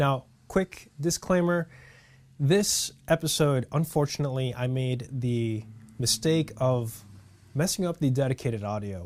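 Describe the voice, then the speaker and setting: A man with an ordinary speaking voice talks at medium pitch and a fairly slow pace, his intonation lively. The recording is very clean, with a silent background. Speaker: podcast host. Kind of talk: podcast intro to camera. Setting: camera onboard mic.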